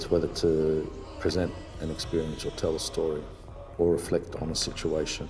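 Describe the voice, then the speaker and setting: With music in the background, a man with a very deep, low voice speaks at a moderate pace in a flat monotone. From Lebanon. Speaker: artist. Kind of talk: interview answer. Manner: thoughtful.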